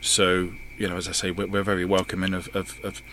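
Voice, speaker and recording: Very deep and low, a man's voice holds a monotone, flat intonation. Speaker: charity group coordinator. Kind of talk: radio interview. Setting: studio. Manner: halting.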